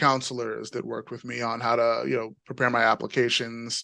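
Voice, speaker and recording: Bright and sharp in tone, a man speaks at a medium pitch with a New York accent. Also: quiet background. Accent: New York American. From New York, US (born in Nigeria, emigrated young). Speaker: panel guest, engineer turned professional. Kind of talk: panel discussion, personal story. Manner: many fillers (you know, um).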